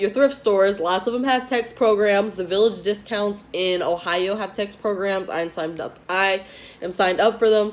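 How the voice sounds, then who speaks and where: Putting on a raspy character voice, a woman speaks at a moderate pace in a medium pitch with fairly even intonation. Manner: fast-talking.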